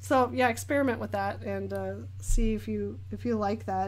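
A woman with an American accent at a moderate pace, with audible room echo. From Northern California, Sacramento area. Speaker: artist and painting streamer. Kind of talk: live-stream chat while painting. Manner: animated.

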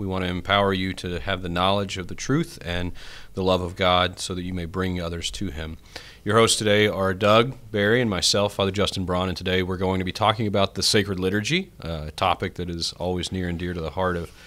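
This man's voice sits very deep and low, with fairly even intonation. He talks at a fairly quick pace. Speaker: priest podcast host. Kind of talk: podcast intro and discussion. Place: studio. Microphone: studio mic.

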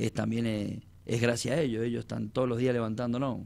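A man talks at a fairly quick pace and a medium pitch. His tone is dark and mellow, his intonation flat and monotone. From Argentina. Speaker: football coach. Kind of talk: radio interview. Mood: emotional, grateful. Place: studio. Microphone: handheld.

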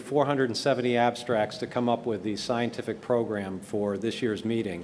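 A man speaks at a fairly slow pace, with light background noise present. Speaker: plastic surgeon, program chair. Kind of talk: conference presentation. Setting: stage with audience. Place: hall. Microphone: podium.

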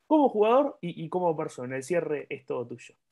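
A man keeps a moderate pace with a quiet background behind him. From Argentina. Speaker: sports channel interviewer. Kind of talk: interview. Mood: friendly, upbeat. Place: home room. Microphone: earbuds.

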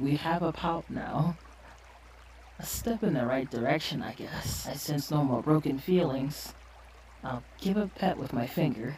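A put-on character voice speaks at a moderate pace in a low-to-middle pitch. Clear background noise runs behind it. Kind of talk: ASMR role play. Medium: role play. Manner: soft-spoken, gentle.

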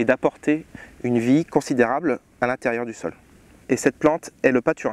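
Dry, echo-free sound of a man at a fairly slow pace with ordinary pitch variation. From France, Champagne region (Marne); Champagne, France. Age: 30s. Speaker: winemaker. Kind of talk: tutorial. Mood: calm, informative. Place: farm machine. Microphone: lapel.

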